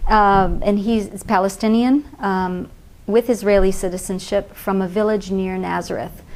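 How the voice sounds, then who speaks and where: At a fairly slow pace, a woman with an American accent uses an ordinary speaking voice with fairly even intonation. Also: medium pitch for a woman. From US West Coast, Pasadena, California. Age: 50s. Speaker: NGO founder and aid reform advocate. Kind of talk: TV interview.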